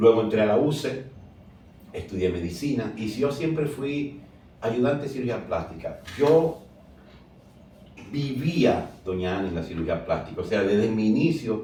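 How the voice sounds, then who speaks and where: A man's dark, mellow, somewhat breathy voice at medium pitch, fairly slow with long, frequent pauses and lively intonation, in audible room echo. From Dominican Republic, San Pedro de Macorís. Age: 60s. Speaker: plastic surgeon. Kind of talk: interview.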